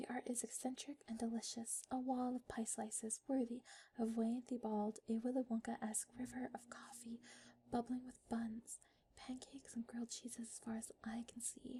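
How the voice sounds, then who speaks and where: Talking at a moderate pace, this speaker is soft-spoken. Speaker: ASMR creator. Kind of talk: reading back-cover text aloud.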